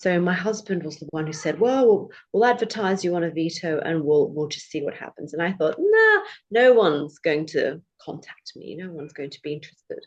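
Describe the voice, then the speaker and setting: A woman speaks with a British accent at a medium pitch. Her intonation is lively and her pace fairly quick. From Australia, born in the UK. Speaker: English tutor and former lawyer. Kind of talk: podcast interview.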